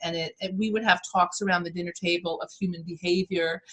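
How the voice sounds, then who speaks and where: Bright and sharp in tone, a woman speaks with a New York accent. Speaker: motivational speaker and life coach. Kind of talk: interview. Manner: animated.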